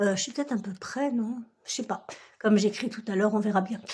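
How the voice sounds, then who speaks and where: Over a very clean recording with a silent background, a woman talks at a fairly quick pace in a somewhat breathy voice with fairly even intonation. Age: 60s. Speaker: budgeting vlogger. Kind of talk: casual vlog talk to viewers. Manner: hesitant, many fillers.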